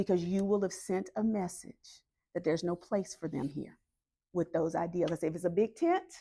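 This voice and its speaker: In a Southern US accent, the voice has a dark, mellow tone, a moderate pace and fairly even intonation. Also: woman, medium pitch for a woman. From US South, North Carolina. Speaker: political organizer. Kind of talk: community meeting talk.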